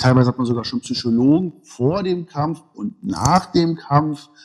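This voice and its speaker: With lively intonation, this is a normal speaking voice. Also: man. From Berlin (East), Germany. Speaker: martial arts school owner. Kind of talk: casual interview. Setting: remote call.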